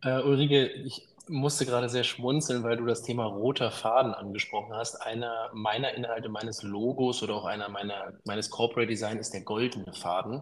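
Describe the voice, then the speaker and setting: Hardly pausing, a man talks at a fairly quick pace in a normal speaking voice with fairly even intonation. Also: medium pitch for a man. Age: 30s. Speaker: business consultant. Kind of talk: interview.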